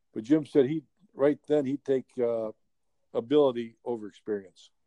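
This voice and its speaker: The voice has a dark, mellow tone and fairly even intonation, captured in a dry, close recording with no echo. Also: man. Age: 70s. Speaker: baseball coach and front-office executive. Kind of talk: casual interview chat.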